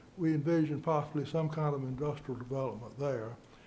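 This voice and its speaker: A man with an American accent speaks at a fairly high pitch in a dark, mellow tone. His intonation is fairly even, and the room echo is audible. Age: 80s+. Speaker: landowner speaking at public comment. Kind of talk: public comment at council meeting. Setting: council meeting at a microphone. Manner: halting.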